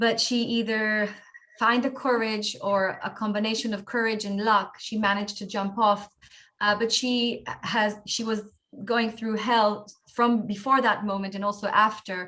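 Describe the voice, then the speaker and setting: Her voice is bright and sharp, fairly high for a woman, monotone and flat, and delivered at a fairly slow pace. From Israel, Tel Aviv. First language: Hebrew. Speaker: author. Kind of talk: interview. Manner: halting.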